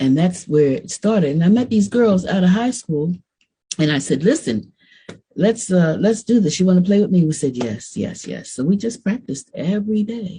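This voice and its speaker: A woman speaks at medium pitch with a dark, mellow tone that is somewhat breathy. Her intonation is lively and her pace moderate. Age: 70s. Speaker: bass player. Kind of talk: casual interview.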